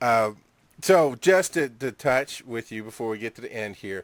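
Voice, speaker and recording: A man speaks with a Southern US accent and lively intonation. The recording is very clean and dry, close-miked with a silent background and no echo. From Georgia, US South. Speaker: internet radio co-host. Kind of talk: casual banter.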